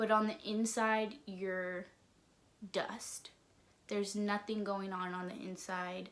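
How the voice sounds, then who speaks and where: A woman speaks very slowly, with long and frequent pauses and a fairly even intonation. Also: medium pitch for a woman. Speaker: vlogger. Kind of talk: casual vlog talk. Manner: monotone.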